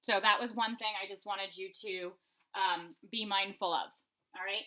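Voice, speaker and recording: The voice is loud, with a bright, sharp tone. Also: woman. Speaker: elementary school teacher. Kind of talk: remote math lesson for students. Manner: casual, frequent fillers.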